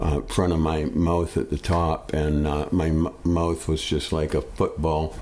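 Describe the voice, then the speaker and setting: A man speaks at a very slow pace. His voice has a very deep, low pitch. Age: 70s. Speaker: customer sharing a product experience. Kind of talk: testimony. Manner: halting, many fillers.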